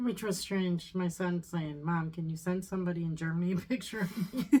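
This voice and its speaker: An ordinary speaking voice from a woman with an American accent, moderate pace, medium pitch and ordinary pitch variation. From US. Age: 50s. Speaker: mother-in-law, co-host. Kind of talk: casual chat.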